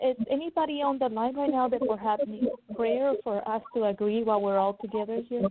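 Delivered in a plain, everyday voice, the speech moves at a fairly quick pace with ordinary pitch variation and very even loudness. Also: woman, fairly high pitch for a woman. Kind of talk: prophetic prayer. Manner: fervent.

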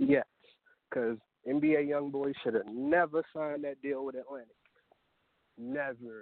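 Long, frequent pauses interrupt speech that proceeds at a fairly slow pace. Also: man, fairly high pitch for a man. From Baltimore, Maryland. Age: 20s. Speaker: rapper. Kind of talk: interview.

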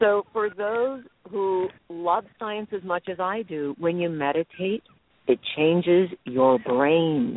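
Her intonation is lively. The woman talks at a very slow pace. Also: medium pitch for a woman. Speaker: radio host. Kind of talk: radio interview. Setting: in a car in Los Angeles.

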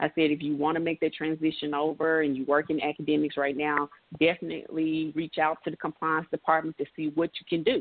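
With a Memphis accent and a very deep, low pitch, a woman talks at a fairly quick pace in a monotone, flat intonation, hardly pausing at all. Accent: Southern American (Memphis). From US South, Memphis, Tennessee. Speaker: college athletics compliance administrator. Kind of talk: interview.

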